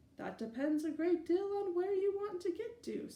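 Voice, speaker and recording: In a squeaky, put-on character voice at an extremely high pitch, a woman talks at a moderate pace with ordinary pitch variation. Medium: read story. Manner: cryptic, teasing.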